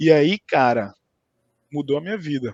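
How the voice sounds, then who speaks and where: In a dry, close sound without echo, a man delivers his words at a medium speed. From Brazil, Recife (Pernambuco). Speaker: tech account manager. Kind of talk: interview. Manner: casual, hesitant with many fillers.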